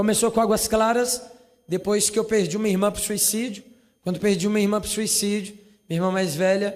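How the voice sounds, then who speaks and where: In a high voice for a man, he speaks at a fairly quick pace with monotone, flat intonation. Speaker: youth movement leader. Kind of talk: speech. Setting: parliament session with audience.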